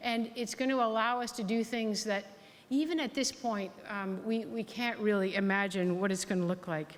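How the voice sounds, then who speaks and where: In an ordinary speaking voice, a woman with a Canadian accent talks at a moderate pace, with a fairly high pitch and ordinary pitch variation. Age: 60s. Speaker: health authority board chair and physician. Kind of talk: keynote speech. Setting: hall with audience.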